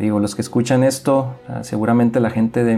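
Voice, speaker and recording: Dark and mellow in tone, a man's medium-pitched voice stays in a monotone, flat intonation. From northern Mexico, Mexicali, Baja California. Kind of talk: spiritual reflection talk.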